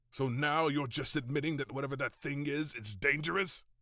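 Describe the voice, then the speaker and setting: A growling put-on character voice from a man at a fairly quick pace. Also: fairly high pitch for a man. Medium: audio drama. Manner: earnest, eager.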